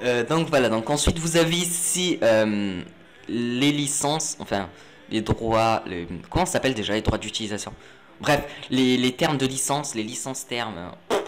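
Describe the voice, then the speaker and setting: The speaker has lively intonation, with music playing in the background. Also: man. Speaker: tech tutorial youtuber. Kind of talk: screen-recorded tutorial. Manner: fast; hesitant, many fillers.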